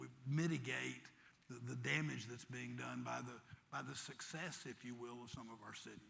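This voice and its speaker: A man speaks at a moderate pace, his voice carrying audible room echo. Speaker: mayor. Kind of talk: panel discussion. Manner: halting, repeats words.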